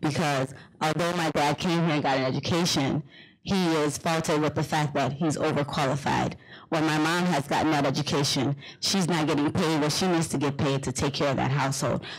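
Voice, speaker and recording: A fairly quick delivery with a Liberian accent, on a very clean recording with a silent background. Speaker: panelist. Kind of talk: panel discussion.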